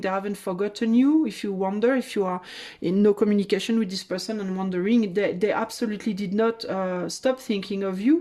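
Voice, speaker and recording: A woman with a French accent speaks at a medium pitch in a dark, mellow tone, keeping a moderate pace, fairly even intonation and hardly any pauses on a very clean recording with a silent background. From France. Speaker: tarot reader. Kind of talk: tarot reading. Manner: halting.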